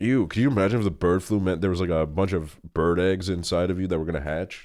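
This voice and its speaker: Against a quiet background, a man with a very deep, low pitch talks at a very fast pace in an animated tone. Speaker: streamer. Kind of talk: casual live stream chat. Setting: live stream.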